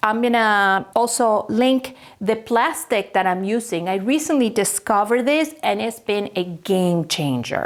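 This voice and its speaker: Here is a normal speaking voice from a woman at medium pitch. She goes at a fairly slow pace with lively intonation. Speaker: furniture painter and DIY creator. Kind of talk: casual DIY tutorial talk.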